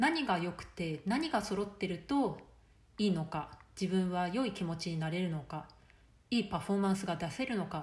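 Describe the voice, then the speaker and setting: A somewhat breathy woman's voice with lively intonation and audible room echo. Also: medium pitch for a woman, moderate pace. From Japan. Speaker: life coach. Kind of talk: solo podcast monologue.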